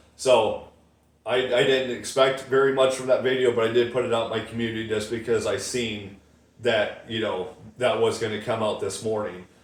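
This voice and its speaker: The man's medium-pitched voice carries audible room echo, with noticeable noise in the background. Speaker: YouTube Bible prophecy commentator. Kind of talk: casual vlog monologue. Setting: home, windows open. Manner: fast; casual, filler-heavy.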